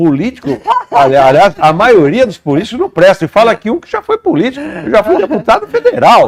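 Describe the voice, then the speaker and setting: A man talks at a fairly quick pace in a high voice, his pitch swinging very widely and his loudness rising and falling a lot. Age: 70s. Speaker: agronomist and former politician. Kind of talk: interview.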